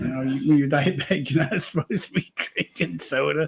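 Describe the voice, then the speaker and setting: In a dry, close recording with no echo, a man speaks with an American accent. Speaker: podcast co-host. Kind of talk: casual chat. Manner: loud.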